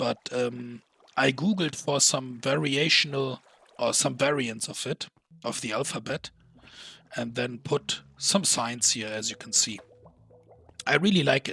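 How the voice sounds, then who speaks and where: A man speaks at a medium pitch and a fairly slow pace with ordinary pitch variation. He leaves long, frequent pauses. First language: not English. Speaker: gaming YouTuber. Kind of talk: gameplay commentary. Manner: casual with frequent fillers.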